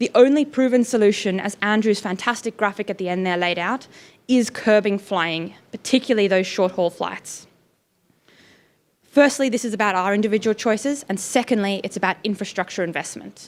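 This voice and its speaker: With an Australian accent, a woman talks at a moderate pace and medium pitch on a very clean recording with a silent background. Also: ordinary pitch variation. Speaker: climate campaigner. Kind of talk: panel presentation.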